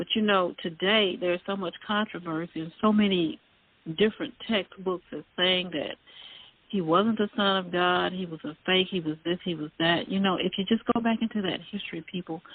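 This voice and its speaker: At a moderate pace, a woman talks in a Southern US accent with ordinary pitch variation. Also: medium pitch for a woman. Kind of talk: casual chat. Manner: halting.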